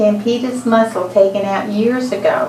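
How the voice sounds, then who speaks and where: Ordinary pitch variation comes through audible room echo and noticeable background noise. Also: woman. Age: 70s. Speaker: patient. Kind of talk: consultation with doctor.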